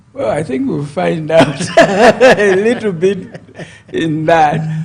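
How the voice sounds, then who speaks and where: Lively intonation at a very slow pace, with noticeable background noise. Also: man, high pitch for a man. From Zambia. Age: 70s. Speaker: politician. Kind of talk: interview.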